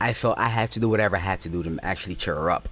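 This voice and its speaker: A man with a Haitian accent talks in a fairly low pitch. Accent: Haitian Creole. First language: Haitian Creole. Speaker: YouTuber. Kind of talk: personal storytelling. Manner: casual, halting.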